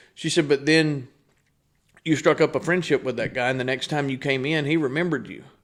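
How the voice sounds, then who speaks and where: A man with an East Texas accent, fairly high in pitch, fairly quick, with fairly even intonation, on a very clean recording with a silent background. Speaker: business owner. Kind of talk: casual chat.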